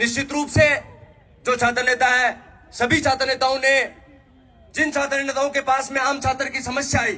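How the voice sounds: Bright and sharp in tone, a man talks at a moderate pace with an extremely high pitch and little pitch movement.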